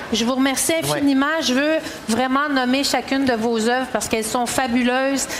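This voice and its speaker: A woman's high voice moves at a fairly quick pace with very even loudness, set against noticeable background noise and audible room echo. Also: fairly even intonation. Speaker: round-table moderator. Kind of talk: panel discussion.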